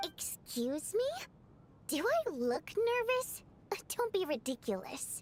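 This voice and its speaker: A woman uses a put-on character voice at an extremely high pitch with very wide pitch swings. She goes at a fairly slow pace with long, frequent pauses over clear background noise. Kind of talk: indignant, haughty.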